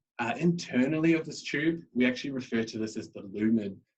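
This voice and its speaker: An Australian accent is heard here. The pitch moves in an ordinary way. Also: man. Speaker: microbiology scientist. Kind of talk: presentation. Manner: halting.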